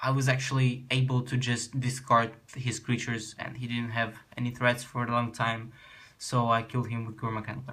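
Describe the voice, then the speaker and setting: Speaking with a Russian accent, a man of medium pitch uses a bright, sharp tone, fairly even intonation and a fairly slow pace. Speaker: card game youtuber. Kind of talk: deck tech explanation. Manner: halting.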